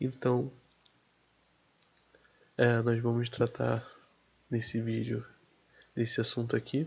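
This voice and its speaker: The man's voice is somewhat breathy. He speaks at a very slow pace with long, frequent pauses. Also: medium pitch for a man. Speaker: Bible teacher. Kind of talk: casual religious teaching to camera.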